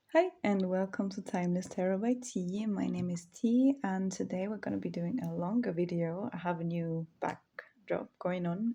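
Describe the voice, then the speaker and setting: A somewhat breathy, dark, mellow tone with a non-native accent and ordinary pitch variation. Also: woman, medium pitch for a woman, moderate pace, hardly any pauses. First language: not English. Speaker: tarot reader. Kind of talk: tarot reading to camera. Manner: casual, with frequent fillers.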